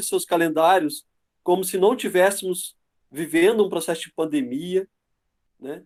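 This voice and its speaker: A man with a Rio Grande do Sul accent speaks at a moderate pace in a high pitch. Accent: southern Brazilian (Dom Pedrito). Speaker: university professor, guest lecturer. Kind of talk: online lecture. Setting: video call webinar.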